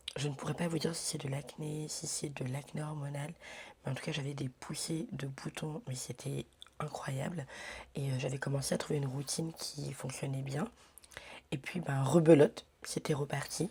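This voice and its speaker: A woman with a very deep, low voice speaks at a moderate pace, somewhat breathy, with fairly even intonation and a dark, mellow tone. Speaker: lifestyle vlogger. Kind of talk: casual vlog talk. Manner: hesitant with many fillers; whispering.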